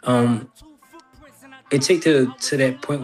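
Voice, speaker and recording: Noticeable background noise is present in the recording. The speaker is a man with a medium pitch. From New Orleans, Louisiana. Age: 40s. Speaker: rapper. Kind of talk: interview.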